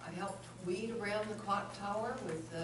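Over noticeable background noise and audible room echo, a woman talks at a moderate pace with ordinary pitch variation. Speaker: city councilor. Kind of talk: council meeting report. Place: hall. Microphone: camera far.

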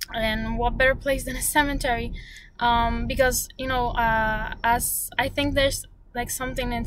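The sound is dry, with no echo. A woman talks at a moderate pace in a high voice. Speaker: vlogger. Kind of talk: casual vlog chat. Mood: reflective, calm. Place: car. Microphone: phone near.

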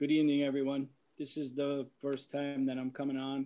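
Against a quiet background, a man with a fairly high pitch and an American accent speaks at a moderate pace in a monotone, flat intonation. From Yorktown, New York; New York. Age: 60s. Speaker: fire department emergency service veteran, resident. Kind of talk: public comment at a meeting. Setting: video teleconference. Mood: emotional, defensive of police. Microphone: video call.

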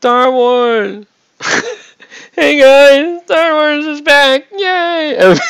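In a put-on character voice pitched high, the speaker goes at a very slow pace with long, frequent pauses. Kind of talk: casual, excited. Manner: sarcastic, exaggerated cheer.

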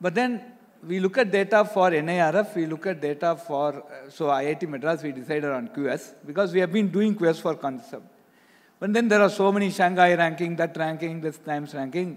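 A man with a high pitch speaks at a moderate pace. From India. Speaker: institute director. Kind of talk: panel discussion. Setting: stage with audience. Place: stage. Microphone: handheld.

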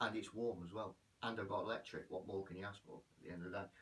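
This is a man's voice. His pitch is very deep and low. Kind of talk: casual vlog chat. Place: bathroom. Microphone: camera far.

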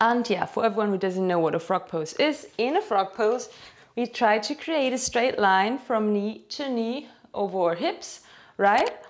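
Lively intonation carries a woman's speech at a moderate pace. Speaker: fitness instructor. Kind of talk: tutorial. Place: home room.

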